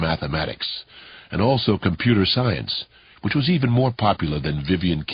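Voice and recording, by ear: The speaker reads aloud in a natural voice. Intonation is lively.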